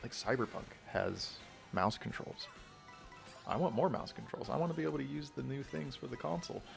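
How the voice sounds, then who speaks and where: A man whispers at a fairly quick pace, with long, frequent pauses. Music plays in the background. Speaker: gaming youtuber. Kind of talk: casual chat. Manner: whispering; rambling, hesitant.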